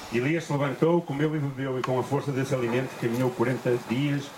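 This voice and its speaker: A man speaks at a moderate pace in a medium pitch, his intonation fairly even. Room echo is audible, and background noise is noticeable. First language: Portuguese (speaking Spanish). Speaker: interpreter. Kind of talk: consecutive interpretation of sermon. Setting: church retreat.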